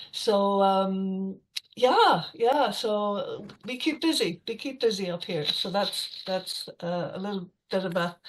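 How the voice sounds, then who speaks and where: A woman speaks with an Irish accent. Her pitch is medium. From west of Ireland. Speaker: storyteller. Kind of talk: casual talk to an online audience. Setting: video call. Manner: hesitant, many fillers.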